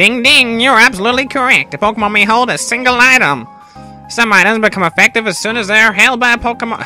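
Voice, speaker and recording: A put-on character voice runs at a very fast pace with fairly high pitch. Clear music plays in the background. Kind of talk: jokey, playful. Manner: put-on clown voice.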